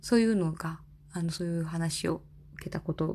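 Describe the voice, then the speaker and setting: On a very clean recording with a silent background, a woman with a fairly low pitch and a dark, mellow tone speaks at a moderate pace, somewhat breathy. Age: 30s. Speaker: podcaster, office worker formerly in elderly care. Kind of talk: casual solo talk. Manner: halting, many fillers.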